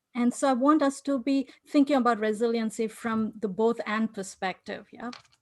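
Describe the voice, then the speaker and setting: On a very clean recording with a silent background, a woman with an Indian accent speaks with fairly even intonation. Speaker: researcher / conference speaker. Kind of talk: conference talk.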